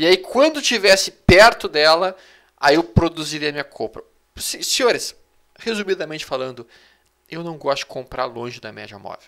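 At a moderate pace, this voice has big swings in loudness, very wide pitch swings and a bright, sharp tone against a quiet background. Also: man, high pitch for a man. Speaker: trading analyst and educator; trading analyst, educator. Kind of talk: live market analysis webinar. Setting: live online video broadcast. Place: home room. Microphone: headset.

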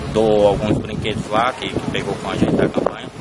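A man's voice comes through a dry sound with no echo. Loud background noise runs underneath. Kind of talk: interview answer. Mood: calm, proud of charity drive. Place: street. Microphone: phone near.

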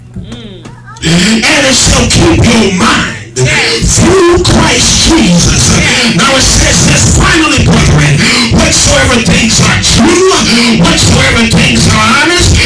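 Over loud background music, a man speaks at a very slow pace. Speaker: preacher. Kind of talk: sermon. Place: church.

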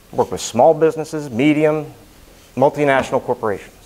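Fairly quick speech comes from a man with ordinary pitch variation. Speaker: speaker. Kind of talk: prepared speech. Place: meeting room. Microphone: lapel.

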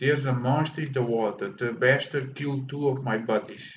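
A man with a Portuguese accent speaks at a moderate pace and medium pitch, somewhat breathy, with ordinary pitch variation. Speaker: gaming streamer. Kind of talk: live gameplay commentary. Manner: animated.

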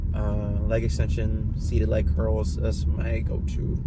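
A man is speaking. There is loud background noise behind him. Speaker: vlogger. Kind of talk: casual vlog chat. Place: car. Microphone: phone near.

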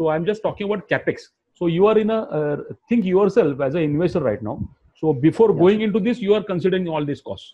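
A very fast pace with lively intonation. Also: man, high pitch for a man. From India. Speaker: business trainer. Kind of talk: online training session. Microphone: video call.

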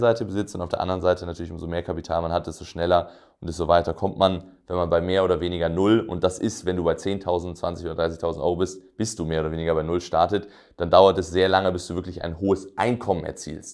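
A man at a very fast pace, very deep and low in pitch, with fairly even intonation and a quiet background. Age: 20s. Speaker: entrepreneur and business coach; business coach. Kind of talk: direct-to-camera explainer video; lecture. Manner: casual with frequent fillers.

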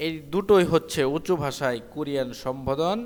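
This man has a normal speaking voice, pitched fairly high, with ordinary pitch variation. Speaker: Korean language teacher. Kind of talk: tutorial.

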